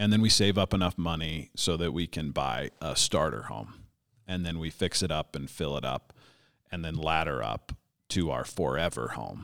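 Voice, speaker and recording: Vocal fry runs through this man's speech at a moderate pace. The recording is very clean, with a silent background. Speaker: trained broadcaster, guest. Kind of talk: casual chat.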